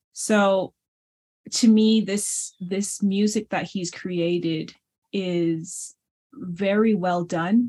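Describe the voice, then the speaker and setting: At a very slow pace, a woman with a Navajo Nation accent speaks at a medium pitch. Her tone is dark and mellow, and her intonation is fairly even. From US Southwest, Navajo Nation. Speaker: pianist and scholar. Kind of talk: interview conversation.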